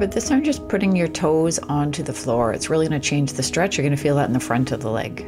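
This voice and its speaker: A woman talks at a very fast pace with clear music in the background. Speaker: fitness instructor. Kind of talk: tutorial. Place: home room.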